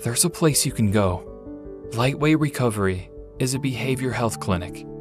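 A man talks at a fairly slow pace in a medium pitch. His pitch swings very widely, with music playing in the background. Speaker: voice actor. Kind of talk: TV commercial read.

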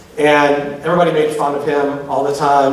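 A fairly slow pace with audible room echo. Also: man. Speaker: public speaker on LGBTQ issues. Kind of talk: live lecture to audience. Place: hall. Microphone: podium.

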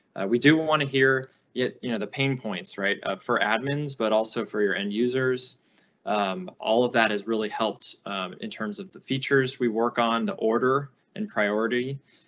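A man's voice has ordinary pitch variation and moves at a moderate pace. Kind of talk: panel answer. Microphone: video call.

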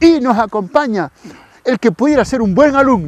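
With a dry sound with no echo, a man's voice moves through very wide pitch swings. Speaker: TV presenter. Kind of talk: casual lively commentary. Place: open country. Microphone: lapel.

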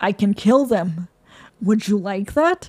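A put-on character voice with a hissing quality, delivered at a fairly slow pace. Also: woman, medium pitch for a woman. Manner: cold, menacing.

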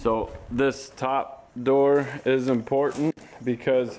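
A man speaks in a monotone with flat intonation. Light background noise sits behind him. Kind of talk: tutorial. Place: garage.

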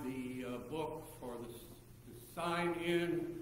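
A man talks with ordinary pitch variation, with audible room echo and light background noise. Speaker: pastor. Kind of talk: service greeting and announcements. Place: church. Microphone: camera far.

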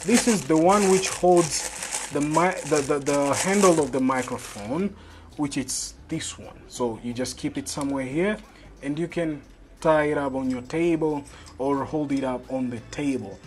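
The speech comes at a fairly slow pace over light background noise. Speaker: tech reviewer. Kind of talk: unboxing commentary. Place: home room.

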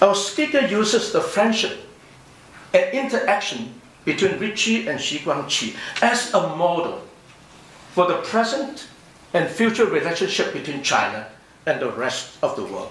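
Over light background noise and audible room echo, a man speaks at a moderate pace with long, frequent pauses. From overseas Chinese community. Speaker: professor. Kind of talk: conference response speech. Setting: conference hall with audience. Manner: formal. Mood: measured, thoughtful. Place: hall. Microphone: podium.

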